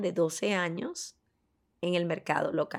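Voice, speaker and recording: A woman speaks at a very slow pace. The recording is very clean, with a silent background. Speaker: podcast co-host. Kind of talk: true crime storytelling.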